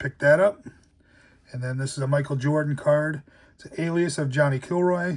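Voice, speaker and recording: A man talks at a moderate pace in a fairly high, somewhat breathy voice. His intonation stays fairly even. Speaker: collectibles YouTuber. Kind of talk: casual show-and-tell vlog.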